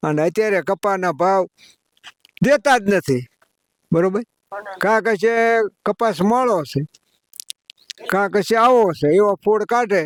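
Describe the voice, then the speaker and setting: A man's high-pitched voice with ordinary pitch variation and very even loudness, dry and close with no echo. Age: old. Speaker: farmer. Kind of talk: interview answer.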